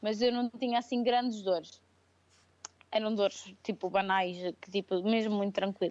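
A woman speaks at a moderate pace with a fairly high pitch and fairly even intonation. Her speech has long, frequent pauses. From Portugal, Viseu region. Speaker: crossfit athlete and coach. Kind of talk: casual interview. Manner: hesitant, many fillers.

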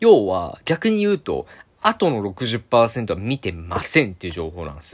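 A man's moderate-paced speech is captured on a very clean recording against a silent background. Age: 20s. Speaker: dancer and video creator podcaster. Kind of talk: solo voice blog monologue. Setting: alone in his room.

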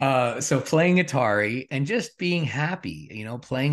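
Against a quiet background, a man with an ordinary speaking voice talks at a moderate pace with lively intonation. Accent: Canadian. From Regina, Saskatchewan, Canada. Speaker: transformation coach. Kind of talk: interview conversation.

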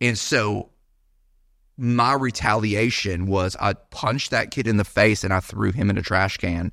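An unremarkable speaking voice with an American accent moves at a fairly slow pace, with ordinary pitch variation and very even loudness, on a very clean recording with a silent background. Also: man, fairly low pitch for a man. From Florida, Gulf Coast (Sarasota area). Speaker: pastor. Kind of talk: casual chat.

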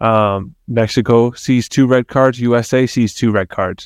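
A man with an unremarkable speaking voice talks at a medium pitch with fairly even intonation. The recording is very clean with a silent background, and the sound is dry and close with no echo. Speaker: co-host and soccer coach. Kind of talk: casual podcast banter about soccer.

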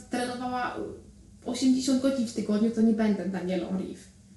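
Noticeable background noise and audible room echo surround a woman's voice. She speaks at a moderate pace in a fairly high pitch with ordinary pitch variation. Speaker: triathlete. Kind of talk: interview.

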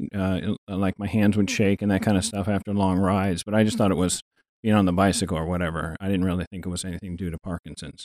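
Very fast and monotone, a man speaks with a very deep, low pitch and flat intonation. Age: 60s. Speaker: fitness enthusiast with Parkinson's disease. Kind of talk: casual interview. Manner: halting, frequent repetitions.

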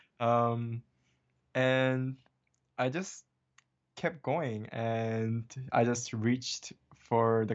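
A man at a medium pitch speaks with a Korean accent. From Hawaii. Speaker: animation artist and director. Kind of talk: interview.

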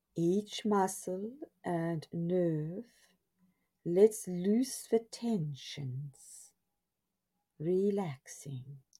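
A woman's very slow, somewhat breathy speech at medium pitch, dark and mellow in tone, calm and gentle, with long, frequent pauses. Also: lively intonation. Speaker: meditation guide. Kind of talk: guided hypnosis-style relaxation script. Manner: slow, soothing, hypnotic, repetitive; calm, gentle, drowsy cadence.

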